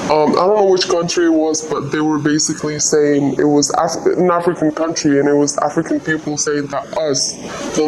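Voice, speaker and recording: Over noticeable background noise and audible room echo, a woman speaks at a moderate pace in a very deep, low voice with monotone, flat intonation. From Algeria. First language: Algerian Arabic. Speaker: migrant interviewee. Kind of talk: interview. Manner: halting.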